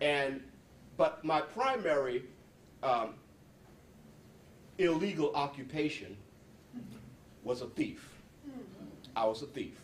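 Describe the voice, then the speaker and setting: This man's voice sits at a fairly high pitch with ordinary pitch variation. He speaks at a very slow pace, leaving long, frequent pauses. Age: 60s. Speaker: psychologist and former prisoner. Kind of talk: talk to an audience. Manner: halting, many repeated words.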